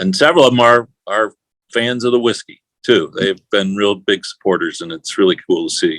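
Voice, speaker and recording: A man speaks with an American accent at a moderate pace. The sound is dry and close, with no echo. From US Midwest, St. Louis. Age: 60s. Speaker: whiskey brand owner. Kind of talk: interview. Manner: hesitant, many fillers.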